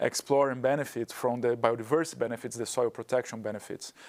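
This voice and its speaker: A man speaks with a Portuguese accent at a medium pitch. His intonation stays fairly even. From Brazil. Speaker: carbon project developer. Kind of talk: webinar panel discussion.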